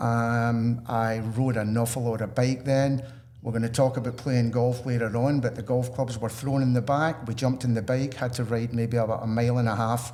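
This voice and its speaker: Room echo is audible around a man with a Scottish accent. He speaks at a moderate pace and medium pitch in a monotone, flat intonation. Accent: genuine Scottish. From Scotland. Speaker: retail salesperson. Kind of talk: podcast interview.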